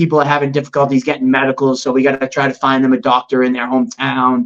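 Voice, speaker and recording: In a Boston accent, a man with a fairly high pitch talks at a very fast pace. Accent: Boston-area American English. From Massachusetts, US. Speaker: MMA promoter. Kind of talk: casual interview.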